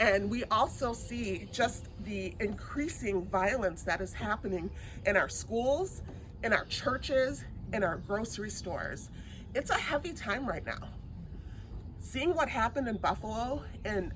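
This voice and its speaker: Speaking at a fairly slow pace, this woman has a fairly high pitch and lively intonation. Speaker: politician. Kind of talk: campaign speech. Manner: soft-spoken.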